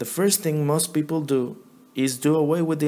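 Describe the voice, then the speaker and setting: A man with a strong non-native accent and fairly even intonation. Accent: thick non-native. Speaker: Bible teacher. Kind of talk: religious teaching.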